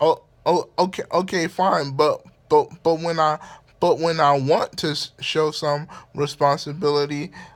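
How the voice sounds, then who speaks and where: In a very clean recording with a silent background, a man speaks fairly slowly at a fairly high pitch in a flat monotone. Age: 20s. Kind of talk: casual vlog. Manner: halting, repetitive.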